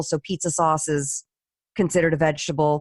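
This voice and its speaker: The recording has a dry, close sound with no echo as a woman speaks with a General American accent. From Los Angeles. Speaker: voice actor, stand-up comic, cookbook author. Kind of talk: interview answer. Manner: casual, animated.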